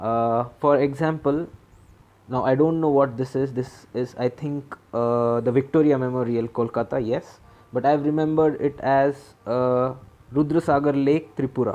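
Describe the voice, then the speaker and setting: Against a quiet background, a man with a dark, mellow tone and a medium pitch speaks at a moderate pace with fairly even intonation, in a Marathi accent. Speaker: exam preparation mentor. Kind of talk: tutorial. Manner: casual, halting.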